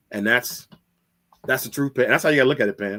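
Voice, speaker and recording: A man's medium-pitched voice in an American accent, with a dry, close sound and no echo. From US Midwest (Gary, Indiana). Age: 40s. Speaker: men's mental health advocate, psychology student. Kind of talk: casual interview chat. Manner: animated, repetitive restarts.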